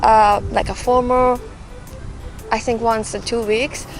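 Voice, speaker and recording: Music plays in the background. A woman with a Japanese accent talks at a moderate pace. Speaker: graduate student. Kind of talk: interview. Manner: halting.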